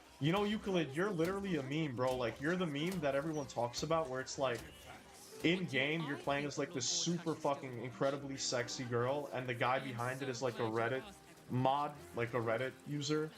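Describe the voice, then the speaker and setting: Noticeable background noise sits behind a man with a fairly high pitch. He speaks at a fairly quick pace with ordinary pitch variation. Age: 20s. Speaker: gaming streamer. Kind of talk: casual chat with live stream viewers while gaming. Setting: live stream.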